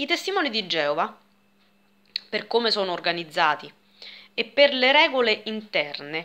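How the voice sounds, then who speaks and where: A woman's bright, sharp voice with very wide pitch swings. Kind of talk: explanatory talk, lecture-like vlog. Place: home room. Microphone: phone near.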